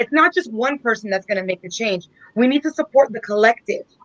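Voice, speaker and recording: A woman speaks at a very fast pace. Her voice is raised, projected, bright and sharp. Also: dry, close sound with no echo. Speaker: political candidate. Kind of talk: panel discussion.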